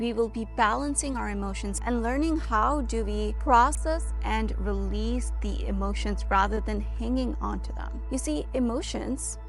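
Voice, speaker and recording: Fairly slow female speech set over background music. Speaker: meditation guide. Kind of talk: guided meditation. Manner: calm, gentle.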